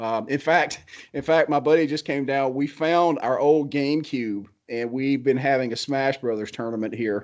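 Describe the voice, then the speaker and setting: A man talks at a moderate pace with an American accent. His pitch varies in an ordinary way over a quiet background. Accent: Southern US, medium now, normally thick. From US South, Georgia. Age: 40s. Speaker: blacksmith. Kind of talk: casual chat. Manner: animated.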